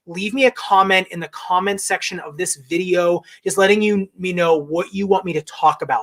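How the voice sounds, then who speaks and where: A man's high voice with fairly even intonation, big swings in loudness and hardly any pauses, dry and close with no echo. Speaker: podiatrist and shoe reviewer. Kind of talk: live stream Q&A. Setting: live stream from home. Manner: fast.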